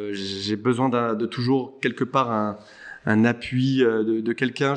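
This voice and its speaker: At a very slow pace, a man speaks with fairly even intonation and a medium pitch. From Paris suburbs (Saint-Cloud), France. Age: 40s. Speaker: lawyer. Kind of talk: casual chat. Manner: halting, many repetitions and hesitations.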